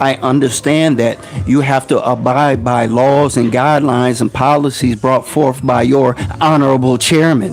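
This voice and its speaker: With music playing behind him, a man talks at a moderate pace in a medium pitch, his intonation fairly even and his loudness very even. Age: 50s. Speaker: podcast host, former gang member. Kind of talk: monologue commentary.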